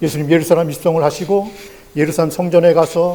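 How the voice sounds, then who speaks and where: There is noticeable background noise and audible room echo. Through it, a man speaks in a high voice. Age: 60s. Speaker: pastor. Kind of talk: sermon.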